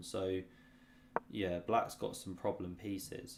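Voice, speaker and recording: With a British accent, a man speaks in a very deep, low pitch at a moderate pace with fairly even intonation. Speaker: chess streamer. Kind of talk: live-stream chess commentary, casual. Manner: low-key, not hype; sleepy, boring-sounding.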